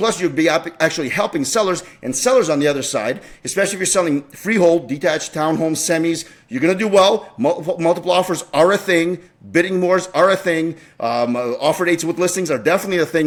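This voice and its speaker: Talking very fast, a man with a high-pitched voice sounds animated, his pitch moving in an ordinary way. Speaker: realtor. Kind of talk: market update video monologue.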